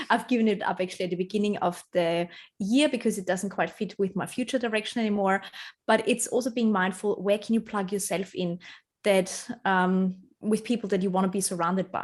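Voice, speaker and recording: On a very clean recording with a silent background, a woman with a non-native accent talks in fairly even intonation. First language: not English. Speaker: personal branding strategist. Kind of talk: podcast interview.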